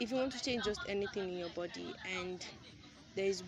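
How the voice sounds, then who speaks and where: A woman speaks with crowd noise in the background. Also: dry sound with no echo. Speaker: vlogger. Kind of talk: casual vlog chat. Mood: calm, encouraging. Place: street. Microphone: phone near.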